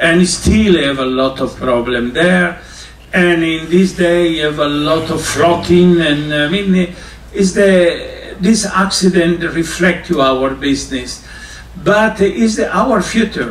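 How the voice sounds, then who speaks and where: A man speaks at a very slow pace with a high voice and ordinary pitch variation. Room echo is audible and background noise is noticeable. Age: 60s. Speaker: cruise line culinary ambassador. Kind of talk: informal talk to students. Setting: on board a cruise ship. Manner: halting.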